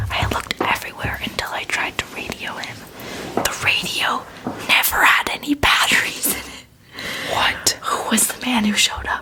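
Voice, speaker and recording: Noticeable background noise runs under a whisper delivered at a moderate pace. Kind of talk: ASMR scary story reading.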